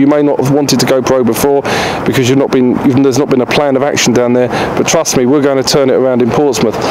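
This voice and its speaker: There is noticeable background noise behind this man as he speaks. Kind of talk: interview answer. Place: garden. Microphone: handheld.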